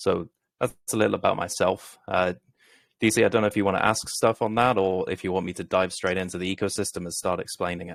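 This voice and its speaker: A man with a British accent speaks at a very fast pace in a very deep, low voice. His intonation is monotone and flat, in a very clean recording with a silent background. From Britain. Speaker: crypto project founder. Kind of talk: interview. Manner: professional.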